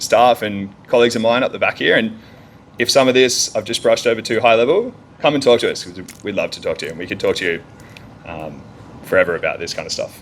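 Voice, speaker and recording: With an Australian accent, a man talks at a very fast pace, his loudness swinging widely. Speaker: energy engineer. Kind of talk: conference talk.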